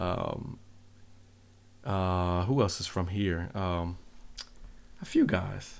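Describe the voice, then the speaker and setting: With an American accent, a man speaks very slowly with long, frequent pauses and fairly even intonation, and audible room echo. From US, Seattle. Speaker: music producer. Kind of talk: casual chat.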